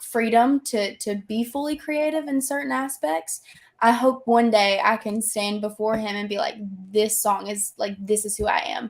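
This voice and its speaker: A woman with an American accent, fairly high in pitch, at a moderate pace. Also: ordinary pitch variation. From US South. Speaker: country singer-songwriter. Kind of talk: casual interview chat.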